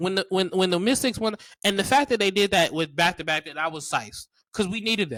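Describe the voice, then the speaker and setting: A man's animated, high-pitched voice with a bright, sharp tone, ordinary pitch variation and a very fast pace. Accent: Maryland. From Maryland, US. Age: 20s. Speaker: podcast host. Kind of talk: casual chat.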